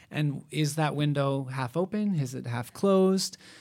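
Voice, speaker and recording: This is a normal speaking voice with ordinary pitch variation. The recording is very clean, with a silent background. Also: man. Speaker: theatre staff member. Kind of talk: panel discussion. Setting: stage with audience.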